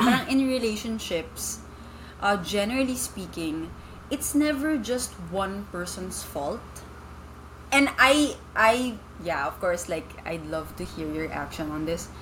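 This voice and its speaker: Over audible room echo, a woman speaks at a medium pitch and a fairly slow pace, her pitch swinging very widely. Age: 20s. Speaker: marketing professional, former teacher. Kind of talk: casual chat. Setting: in person.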